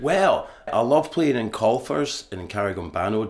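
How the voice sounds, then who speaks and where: A somewhat breathy man's voice with ordinary pitch variation and audible room echo. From Scotland. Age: 50s. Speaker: musician. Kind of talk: radio interview. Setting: theatre recording for radio.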